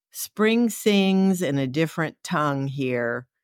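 Very slowly, a woman speaks in a very deep, low pitch, captured in a very clean recording with a silent background and a dry, close sound with no echo. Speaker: poet and podcast host. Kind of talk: poetry reading. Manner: slow, lyrical, measured reading with soft rising and falling cadence; tender, heartfelt, reflective.

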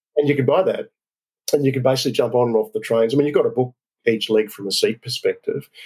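Very fast speech from a man with an Australian accent. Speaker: business council president, frequent traveller. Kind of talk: interview.

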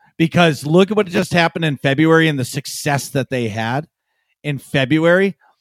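In a dry, close recording with no echo, a man speaks in an ordinary speaking voice, fairly high in pitch, with ordinary pitch variation at a moderate pace. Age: 30s. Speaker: podcast co-host and streamer. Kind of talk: casual chat.

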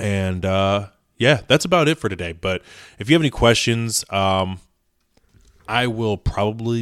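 In a very clean recording with a silent background and a dry, close sound with no echo, a man speaks at a fairly slow pace, his fairly low pitch showing ordinary variation. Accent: Midwestern American. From US Midwest, Indiana. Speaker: podcast host, car detailer. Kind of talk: casual solo podcast talk. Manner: halting, many fillers.

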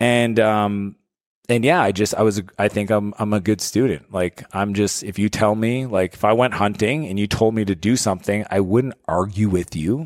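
A man speaks with a French Canadian accent. His pitch is fairly low, with ordinary pitch variation. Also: moderate pace, very clean recording, silent background. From Canada (French-speaking). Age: 40s. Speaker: entrepreneur and author. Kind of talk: casual interview chat. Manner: animated.

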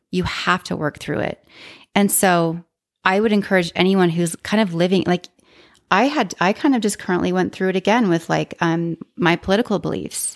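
A woman speaks in a normal speaking voice with an American accent, at medium pitch and a moderate pace. Her pitch varies in an ordinary way, and the sound is dry and close with no echo. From Utah. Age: 40s. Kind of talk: casual interview, personal story.

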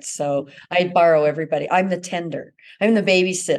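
Here is a woman with an American accent. She keeps a moderate pace and fairly even intonation. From Utah (Ogden). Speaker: magazine editor. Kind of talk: casual interview.

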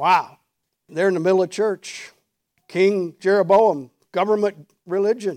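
A high-pitched male voice with very even loudness and long, frequent pauses. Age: 60s. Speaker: pastor. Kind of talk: sermon. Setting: church with congregation. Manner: animated.

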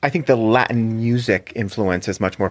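On a very clean recording with a silent background, a man with an American accent uses an ordinary speaking voice, fairly low in pitch, with ordinary pitch variation at a moderate pace. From South Florida. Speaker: theater director. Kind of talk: casual interview.

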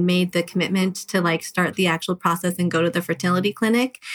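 In an American accent, a woman with a fairly low pitch speaks very fast in a monotone, flat intonation. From Southern California. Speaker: fertility patient and mother. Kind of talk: casual interview.

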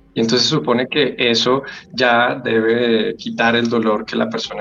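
A man's speech, with ordinary pitch variation and a moderate pace, comes through noticeable background noise. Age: 30s. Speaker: grief counselor and death educator. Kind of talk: interview.

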